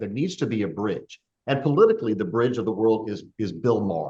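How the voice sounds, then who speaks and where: A man speaks with a plain, everyday voice. His pitch is medium and his pace fairly quick. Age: 60s. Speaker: podcast host. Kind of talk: casual chat.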